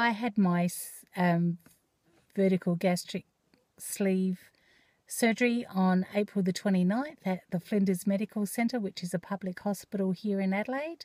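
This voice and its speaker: A woman speaks at a moderate pace and a medium pitch, her tone dark and mellow and somewhat breathy, with ordinary pitch variation. The sound is dry and close, without echo. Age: 50s. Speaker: vlogger. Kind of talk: personal vlog. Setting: in a car. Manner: hesitant, many fillers.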